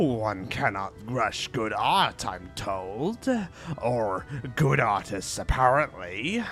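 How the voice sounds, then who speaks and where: Clear music plays behind a man doing a put-on character voice. He speaks at a very slow pace with a medium pitch. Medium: game stream.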